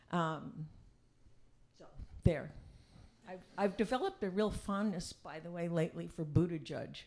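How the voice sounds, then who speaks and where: A woman with a fairly low pitch and vocal fry speaks with ordinary pitch variation. Her loudness swings widely, and she takes long, frequent pauses. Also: moderate pace. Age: 70s. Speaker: activist. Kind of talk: casual chat.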